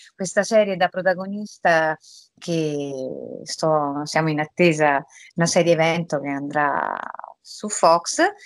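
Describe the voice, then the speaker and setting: Against a quiet background, a woman speaks at a very slow pace in a dry sound with no echo. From Rome, Italy; Italy. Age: 40s. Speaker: voice actress. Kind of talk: interview. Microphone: video call.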